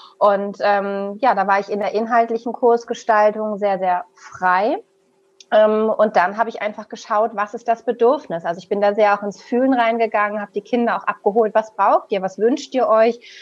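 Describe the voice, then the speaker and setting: A woman with a fairly high pitch at a moderate pace. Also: fairly even intonation. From northern Germany, Hamburg. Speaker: business psychologist and coach. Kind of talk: interview. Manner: halting, with many fillers.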